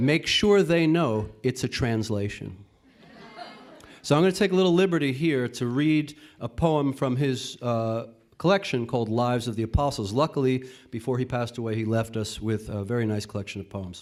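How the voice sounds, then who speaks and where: Spoken at a moderate pace with a northeastern US accent, the voice carries lively intonation. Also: man, medium pitch for a man. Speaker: translator reading at an open mic. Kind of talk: poetry reading at open mic.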